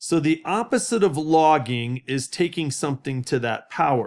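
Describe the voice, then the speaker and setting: On a very clean recording with a silent background, a man in an ordinary speaking voice talks at a fairly slow pace with ordinary pitch variation. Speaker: math teacher. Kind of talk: tutorial. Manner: casual.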